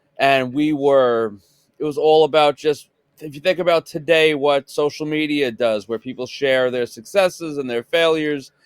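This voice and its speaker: In a Long Island accent, the speaker moves at a moderate pace with big swings in loudness. The recording is very clean, with a silent background. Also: man, fairly high pitch for a man, ordinary pitch variation, dry, close sound with no echo. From Long Island, New York. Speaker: podcast co-host, autograph collector. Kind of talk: casual chat.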